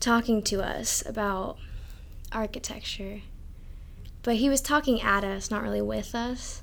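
Audible room echo around a woman's very slow speech. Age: young. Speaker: architecture student. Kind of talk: casual chat.

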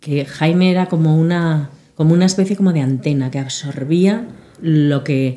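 A woman's very deep, low pitch, dark and mellow in tone, with ordinary pitch variation. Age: 50s. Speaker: bridal fashion designer. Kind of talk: casual chat.

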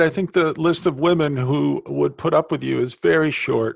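A man with an ordinary speaking voice, fairly high in pitch, at a moderate pace and with ordinary pitch variation. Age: 50s. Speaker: podcast host. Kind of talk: casual interview.

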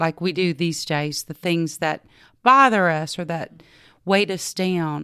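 In a Texan accent, a woman speaks at a very slow pace with a fairly low pitch, a bright, sharp tone and ordinary pitch variation, on a very clean recording with a silent background. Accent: Texan Southern US. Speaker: yoga instructor and retreat owner. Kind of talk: interview.

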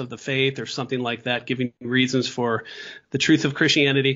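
A man speaks with an American accent. His pitch is medium. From US Midwest. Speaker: philosophy professor. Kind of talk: interview.

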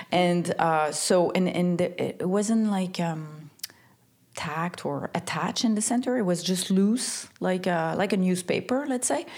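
Ordinary pitch variation runs through a woman's fairly slow speech. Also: medium pitch for a woman. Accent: Quebec. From Quebec, Montreal. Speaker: stylist and creative director. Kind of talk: interview. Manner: halting, many fillers and repeats.

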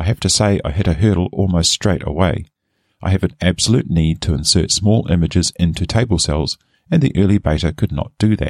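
Recorded with a dry, close sound and no echo, a man talks fairly quickly in a very deep, low voice with ordinary pitch variation. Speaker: software reviewer. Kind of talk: software review, scripted reading.

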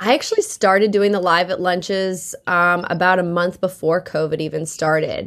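Medium-pitched woman in an American accent, at a moderate pace with fairly even intonation. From Massachusetts, South Shore. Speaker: country singer-songwriter. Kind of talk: casual interview.

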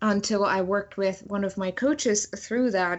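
A woman speaks with a German accent. Her pitch is medium and her intonation fairly even. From Germany. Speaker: author and motivational speaker. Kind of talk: interview.

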